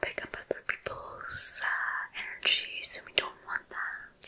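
This is a woman. She is whispering. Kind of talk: soft role-play talk to viewer. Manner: soft, intimate ASMR voice close to microphone. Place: home room. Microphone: studio mic.

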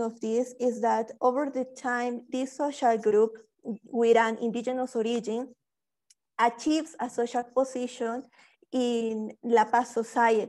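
Against a quiet background, a woman with a Spanish accent speaks at a high pitch and a fairly slow pace. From Bolivia. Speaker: PhD student; speaker. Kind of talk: webinar presentation. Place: home room. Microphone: earbuds.

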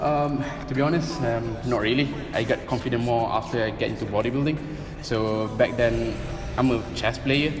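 Clear music sits in the background as a man speaks at a moderate pace with fairly even intonation. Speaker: interview guest. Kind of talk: interview answer. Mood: relaxed, smiling. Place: gym. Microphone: camera far.

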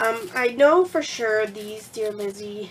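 A woman's fairly high voice at a fairly slow pace, with ordinary pitch variation and noticeable background noise. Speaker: crafting vlogger. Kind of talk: casual vlog, showing craft supplies. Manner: friendly, chatty, uses many fillers.

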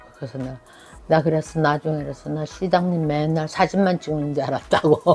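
Over music in the background, a woman with a very deep, low voice talks at a fairly quick pace, her intonation fairly even and her loudness swinging widely. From South Korea, Daegu and Gyeongsan area. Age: 70s. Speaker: senior volunteer and lifelong learner. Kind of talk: life story interview.

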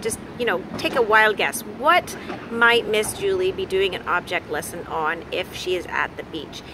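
The pace is fairly slow. Background noise is noticeable. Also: woman, dry sound with no echo. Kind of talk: casual vlog chat. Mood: warm and upbeat. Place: beach. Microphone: phone near.

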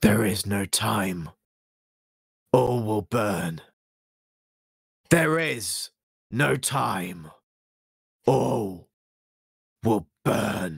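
Putting on a raspy character voice, a man speaks very slowly at a fairly low pitch, with very wide pitch swings and long, frequent pauses. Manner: ominous, puppet-like.

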